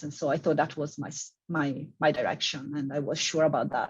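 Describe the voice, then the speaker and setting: Over a quiet background, a woman with a strong Italian accent speaks in a very deep, low pitch and a monotone, flat intonation. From Italy. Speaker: civil engineering professor. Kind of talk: panel discussion.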